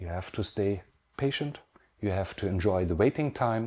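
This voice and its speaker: At a moderate pace, a man speaks in a fairly low pitch with a German accent. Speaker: pen artisan. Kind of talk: pre-recorded video message. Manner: halting.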